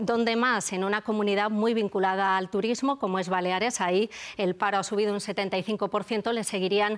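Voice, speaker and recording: Delivered in a plain, everyday voice, the speech moves at a fairly quick pace. The intonation stays fairly even. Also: woman. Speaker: economics editor on TV news. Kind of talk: news analysis.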